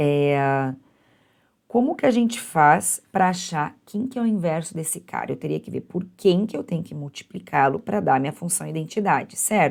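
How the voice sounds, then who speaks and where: A woman's plain, everyday voice at a fairly low pitch, with lively intonation, big swings in loudness and a moderate pace. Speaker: university math teacher. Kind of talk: lecture.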